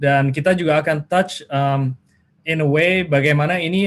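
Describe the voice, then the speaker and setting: A man talks at a moderate pace. His voice sits fairly high, with ordinary pitch variation. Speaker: webinar speaker, data school director. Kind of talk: webinar presentation. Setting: video call. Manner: halting, many fillers; mixes Indonesian and English.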